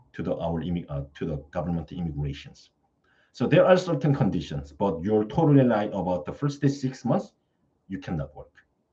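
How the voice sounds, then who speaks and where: A man with a non-native accent speaks at a moderate pace in a fairly low pitch, with a dark, mellow tone. His voice is somewhat breathy and moves in very wide pitch swings. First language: not English. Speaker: study-abroad service presenter. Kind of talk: live Q&A stream. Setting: live stream. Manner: halting, with frequent fillers.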